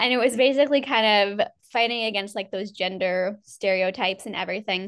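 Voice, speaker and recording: A woman's normal speaking voice, fairly high-pitched with ordinary pitch variation, at a fairly quick pace against a quiet background. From US Northeast. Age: 20s. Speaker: PR agency founder. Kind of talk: interview conversation.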